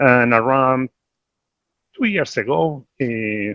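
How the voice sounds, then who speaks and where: A man with an Argentine accent and fairly even intonation. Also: dry, close sound with no echo. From Argentina. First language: Spanish. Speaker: investment executive. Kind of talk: panel discussion.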